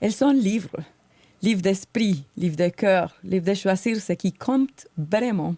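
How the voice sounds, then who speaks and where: With a slight Colombian accent, a woman speaks very slowly in a dark, mellow, somewhat breathy medium-pitched voice, the sound dry and close with no echo. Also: ordinary pitch variation. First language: Spanish (speaking French). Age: 40s. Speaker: podcast co-host. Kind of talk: podcast monologue, prepared talk.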